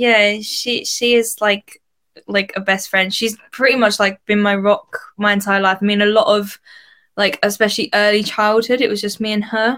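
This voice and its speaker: A woman speaks with an Essex accent at a fairly high pitch and a moderate pace. Her tone is bright and sharp, her intonation fairly even. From Essex, England. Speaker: singer. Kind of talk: casual interview chat.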